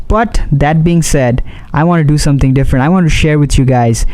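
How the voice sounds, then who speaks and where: A man with a fairly high pitch talks at a fairly quick pace with ordinary pitch variation, with audible room echo and noticeable background noise. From Bangladesh. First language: Bengali. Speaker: YouTuber, commentary channel host. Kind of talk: vlog commentary to camera.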